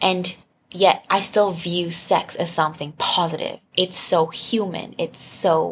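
A woman's somewhat breathy, medium-pitched voice, fairly even in intonation and very slow in pace. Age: 20s. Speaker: sex-positive content creator and advocate. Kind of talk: casual chat.

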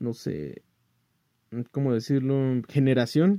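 The man's voice has a dark, mellow tone. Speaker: podcast host. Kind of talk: casual news commentary. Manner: hesitant, many fillers.

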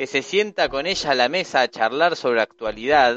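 There is lively intonation in this man's voice. He speaks at a moderate pace. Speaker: podcast panelist. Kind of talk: casual chat.

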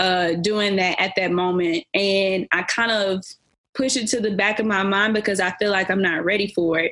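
With a plain, everyday voice, a woman speaks at a moderate pace and medium pitch, her intonation fairly even and her loudness very even. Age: 20s. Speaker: leasing consultant and makeup artist. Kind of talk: casual chat.

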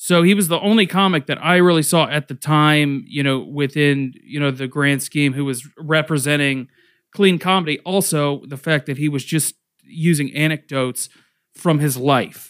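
A man with an American accent speaks in a normal speaking voice at a fairly high pitch and ordinary pitch variation, at a moderate pace, on a very clean recording with a silent background. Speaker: stand-up comedian. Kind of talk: casual interview.

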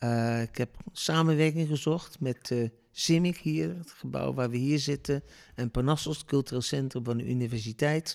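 Medium in pitch, with ordinary pitch variation, a man speaks at a moderate pace in a dry, close sound with no echo. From Netherlands, Deventer. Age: 60s. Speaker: storytelling impresario. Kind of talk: interview. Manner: hesitant, many fillers.

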